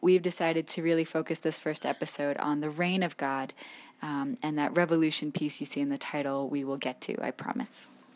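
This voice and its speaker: A woman's very deep, low voice at a moderate pace, with ordinary pitch variation, on a very clean recording with a silent background. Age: 20s. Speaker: podcast co-host, former geochemist. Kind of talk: casual chat.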